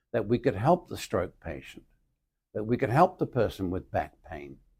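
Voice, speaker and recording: A man speaks with vocal fry and a dark, mellow tone, his pitch swinging very widely. The recording is very clean with a silent background. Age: 80s+. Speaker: retired physical therapist and educator. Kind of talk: interview.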